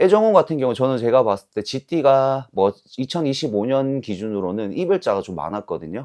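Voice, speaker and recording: A medium-pitched man speaks at a fairly slow pace with a dark, mellow tone and very wide pitch swings. The background is quiet and the sound is dry and close, with no echo. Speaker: fortune teller. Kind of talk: fortune-telling consultation. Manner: formal, explanatory.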